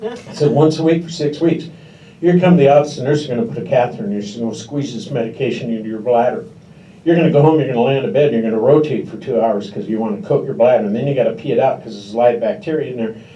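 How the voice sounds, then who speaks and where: At a very fast pace, a man with a Pacific Northwest accent talks at a fairly high pitch with lively intonation, amid audible room echo and noticeable background noise. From Washington State. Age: 60s. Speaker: stand-up comedian. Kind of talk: stand-up. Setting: stage with audience.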